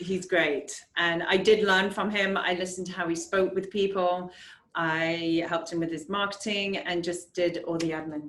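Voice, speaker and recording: With an English accent, a woman speaks at a moderate pace and medium pitch in a monotone, flat intonation. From England. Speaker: real estate agent. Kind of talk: casual interview.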